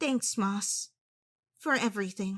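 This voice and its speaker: A woman performs a put-on character voice. Her pitch sits in the medium range. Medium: audio drama.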